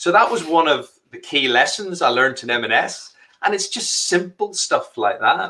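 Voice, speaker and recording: A Northern Irish accent at a moderate pace over a quiet background. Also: man. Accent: Northern Irish (Belfast). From Northern Ireland, Belfast. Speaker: entrepreneur; guest. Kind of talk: live interview. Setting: live stream. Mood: animated, cheerful. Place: home room.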